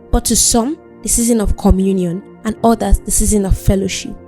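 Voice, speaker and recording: With music playing behind her, a woman talks at a moderate pace. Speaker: spoken word poet. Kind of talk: spoken word poetry performance.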